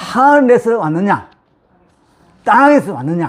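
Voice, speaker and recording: A man talks with very wide pitch swings. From Busan, South Korea (Yeongdo). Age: 60s. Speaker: pastor. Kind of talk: sermon. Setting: church.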